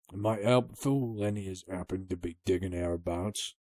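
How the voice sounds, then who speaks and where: A man puts on a character voice with a very deep, low pitch. He keeps a moderate pace and ordinary pitch variation. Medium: read story. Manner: surly, rough, coarse.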